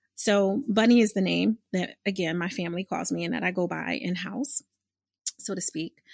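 A woman with an American accent and a medium pitch talks at a moderate pace with ordinary pitch variation and vocal fry, the sound dry and close with no echo against a quiet background. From Philadelphia, US. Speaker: podcast host, business coach and clinical social worker. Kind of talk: casual monologue. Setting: studio. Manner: animated.

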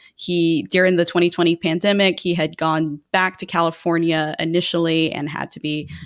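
A woman with an American accent uses a normal speaking voice at a fairly low pitch and moderate pace. The recording is very clean, with a silent background. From Texas, San Antonio. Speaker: political analyst. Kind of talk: casual political analysis chat.

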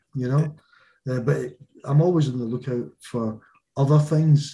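Somewhat breathy, a man talks in a strong Glaswegian accent with a dark, mellow tone. His pitch is fairly high and his intonation fairly even. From Scotland, Glasgow. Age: 50s. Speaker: small business owner. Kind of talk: casual interview chat.

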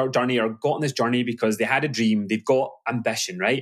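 A man speaks in a medium pitch with ordinary pitch variation. He has a West Coast Scottish accent. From Glasgow, Scotland. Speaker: business coach. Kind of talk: casual interview chat.

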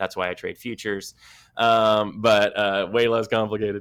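A man's fairly low voice, bright and sharp in tone, flat and monotone in delivery, on a very clean recording with a silent background. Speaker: trading podcast co-host, former IT worker. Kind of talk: casual chat. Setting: hotel room.

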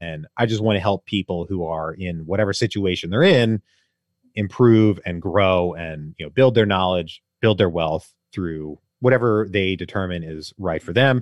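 The speaker's loudness swings widely throughout. The pace is moderate and the pitch varies an ordinary amount. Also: man, very deep, low pitch for a man. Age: 30s. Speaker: real estate investor and podcaster. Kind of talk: interview.

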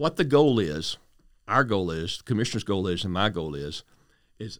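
Using very wide pitch swings, a man with an American accent talks at a fairly quick pace on a very clean recording with a silent background. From West Texas. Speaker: border patrol executive. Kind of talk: interview.

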